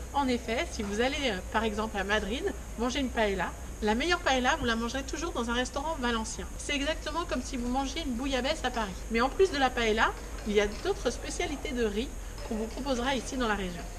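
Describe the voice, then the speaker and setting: A woman at a high pitch with lively intonation and a fairly quick pace, amid noticeable background noise and audible room echo. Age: 30s. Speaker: vlogger. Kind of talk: presenting to camera. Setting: outdoors.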